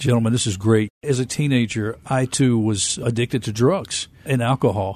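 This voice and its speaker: A man with a normal speaking voice talks at medium pitch and moderate pace, with hardly any pauses. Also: ordinary pitch variation. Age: 50s. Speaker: TV talk show host. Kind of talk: interview. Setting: studio.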